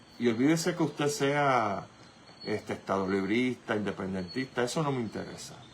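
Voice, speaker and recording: A man at a fairly slow pace, with very wide pitch swings and noticeable background noise. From Puerto Rico. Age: 60s. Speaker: radio host. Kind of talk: political commentary. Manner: animated.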